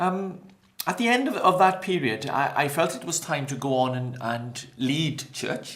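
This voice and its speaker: With a Welsh accent, a man uses lively intonation and a fairly high pitch at a fairly slow pace, with audible room echo and noticeable background noise. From Wales, Maesteg near Swansea. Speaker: pastor. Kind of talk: interview.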